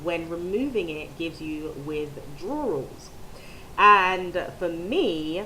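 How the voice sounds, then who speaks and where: A woman talks with lively intonation. Audible room echo surrounds her voice. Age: 30s. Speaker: video blogger. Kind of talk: personal vlog testimony. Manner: hesitant, many ums.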